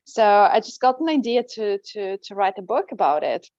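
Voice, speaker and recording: A woman with a Russian accent is heard over a quiet background, the sound dry and close with no echo. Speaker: language teacher and coach. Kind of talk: interview.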